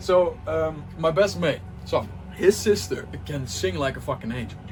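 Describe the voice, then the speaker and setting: With noticeable background noise behind him, a man speaks in an animated tone, his pitch swinging very widely. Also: medium pitch for a man, fairly slow pace. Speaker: music producer and DJ. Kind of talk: casual talk to camera. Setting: home studio. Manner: animated, halting with repetitions.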